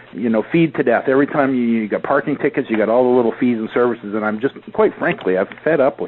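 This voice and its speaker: A man with a Canadian accent speaks at a very fast pace with hardly any pauses, at a medium pitch. His pitch varies in an ordinary way over noticeable background noise. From Canada. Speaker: podcast host, affiliate marketer. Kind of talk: casual interview chat.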